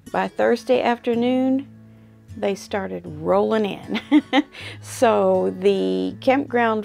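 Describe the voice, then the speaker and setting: A woman talks at a very slow pace. Faint music plays in the background. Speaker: quilting channel host. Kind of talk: casual vlog chat. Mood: relaxed, chatty. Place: workshop. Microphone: camera far.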